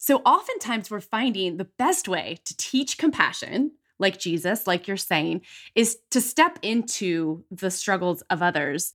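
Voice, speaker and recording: In a very clean recording with a silent background, a woman uses a normal speaking voice at medium pitch, with lively intonation and a fairly slow pace. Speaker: podcast host. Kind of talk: podcast interview, host intro and chat. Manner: warm, upbeat.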